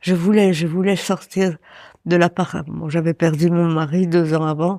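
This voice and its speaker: A woman speaks in a dark, mellow tone at a fairly slow pace. Her intonation stays fairly even, and the recording is very clean with a silent background. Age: 90s. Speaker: care home resident. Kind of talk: interview. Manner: halting.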